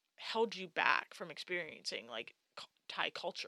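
Dry and close with no echo, a woman's bright, sharp tone comes through with a New York State accent. She goes at a moderate pace with ordinary pitch variation. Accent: American (New York State). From upstate New York. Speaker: podcast co-host, international adoptee. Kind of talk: casual chat.

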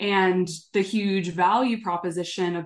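Against a quiet background, the speaker talks with an American accent. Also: woman. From Southern California. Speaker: sustainability executive. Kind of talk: interview.

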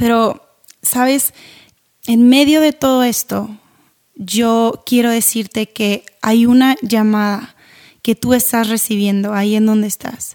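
A woman speaks at a very slow pace. Long, frequent pauses break up her speech. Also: fairly high pitch for a woman, fairly even intonation. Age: 30s. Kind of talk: devotional podcast talk.

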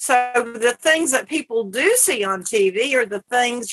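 A woman with a Southern US accent speaks at a very slow pace. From US South. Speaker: cannabis advocate. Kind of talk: casual chat. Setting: porch.

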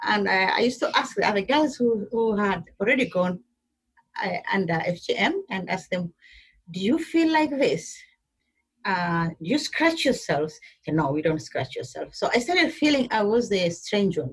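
Somewhat breathy, a woman talks at a fairly high pitch and a moderate pace with very wide pitch swings. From Kenya, Somali community in Garissa. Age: 50s. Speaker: women's rights activist. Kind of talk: interview.

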